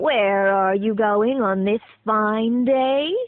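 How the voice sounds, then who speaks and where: Here a put-on character voice is used. Everything is delivered very slowly. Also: woman, fairly high pitch for a woman. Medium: read story. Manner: sly, sweetly coaxing.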